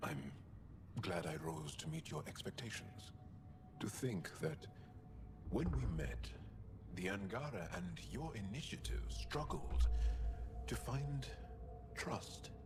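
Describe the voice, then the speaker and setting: A man's put-on character voice at a fairly slow pace, broken by long, frequent pauses, over loud background noise. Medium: video game. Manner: warm, laughing.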